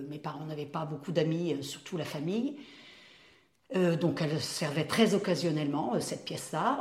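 A woman talks at a moderate pace with ordinary pitch variation. Audible room echo and noticeable background noise are present. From France, Mayenne (rural west). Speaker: retired primary school teacher. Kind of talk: life story interview.

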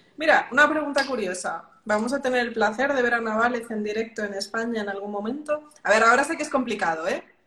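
A woman with a Madrid accent speaks at a very fast pace and a fairly high pitch. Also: ordinary pitch variation. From Madrid, Spain. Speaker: podcast host, music industry professional. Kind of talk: interview conversation.

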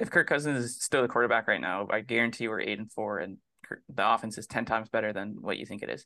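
A man talks at a very fast clip in a medium pitch, with ordinary pitch variation, vocal fry and a bright, sharp tone, against a quiet background. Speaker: sports podcast co-host. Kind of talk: casual sports chat.

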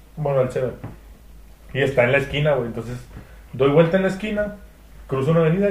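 A man talks at a very fast pace with lively intonation. There is audible room echo. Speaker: podcast guest. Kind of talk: casual chat.

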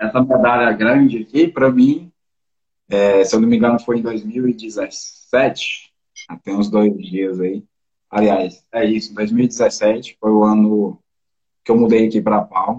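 A man's medium-pitched voice, fairly even in intonation, unfolds at a very slow pace. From Brazil, interior of Goiás. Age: 20s. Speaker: mountain bike athlete. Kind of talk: casual interview.

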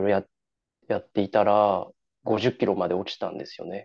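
A man speaks at a fairly low pitch. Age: 20s. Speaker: amateur obstacle racer. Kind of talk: casual interview. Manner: halting.

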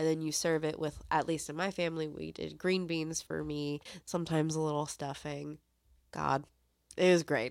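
At a moderate pace, a woman speaks with a very deep, low pitch in monotone, flat intonation. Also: very clean recording, silent background. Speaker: movie podcast co-host. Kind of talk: casual chat.

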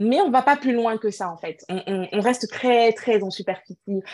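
A woman with an unremarkable speaking voice, moderate pace and ordinary pitch variation. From Cameroon. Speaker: entrepreneur and natural hair advocate. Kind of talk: interview.

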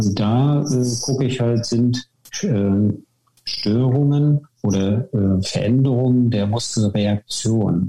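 The man talks at a very slow pace and a medium pitch. His loudness stays very even. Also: ordinary pitch variation. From northern Germany, Wismar (former GDR). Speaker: naturopath and osteopath. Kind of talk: podcast interview.

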